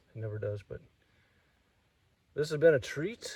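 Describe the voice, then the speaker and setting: A somewhat breathy man's voice with a dark, mellow tone at a fairly quick pace. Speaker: snake-hunting vlogger. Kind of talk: outdoor vlog narration. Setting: outdoors on a trail.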